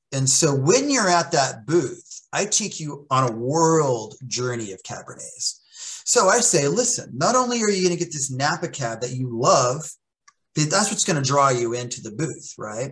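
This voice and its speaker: In an American accent, a man talks at a moderate pace with a fairly high pitch. His pitch swings very widely. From US, central Oklahoma. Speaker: sommelier and wine educator; wine educator. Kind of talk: casual interview chat. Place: home room. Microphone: video call.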